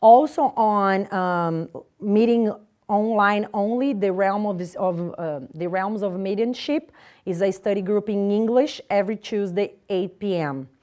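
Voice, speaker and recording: Speech with a non-native accent, a dark, mellow tone, ordinary pitch variation and a fairly slow pace, against a quiet background. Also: woman, medium pitch for a woman. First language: Portuguese. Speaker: spiritist lecturer. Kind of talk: community announcements. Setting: live-streamed talk with audience. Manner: halting.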